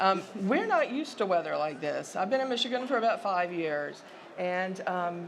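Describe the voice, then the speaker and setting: In a Southern US accent, a woman talks at a moderate pace and fairly low pitch, with noticeable background noise and audible room echo. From US South. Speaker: sociology professor. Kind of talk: conference presentation.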